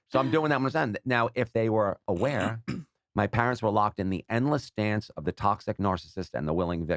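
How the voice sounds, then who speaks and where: A man's fairly low, plain, everyday voice with lively intonation at a fairly quick pace, dry and close with no echo. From New York. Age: 60s. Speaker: social media personality and gambler. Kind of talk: casual podcast interview.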